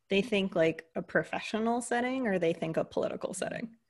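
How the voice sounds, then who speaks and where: A woman with an American accent speaks at a moderate pace with ordinary pitch variation. She has a plain, everyday voice. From US, Greek American family. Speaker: leadership coach. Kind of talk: interview conversation.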